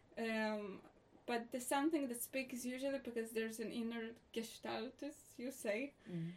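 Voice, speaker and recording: Moderate pace, ordinary pitch variation and a normal speaking voice. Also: woman, fairly high pitch for a woman. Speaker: theatre director and playwright. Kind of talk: casual interview conversation.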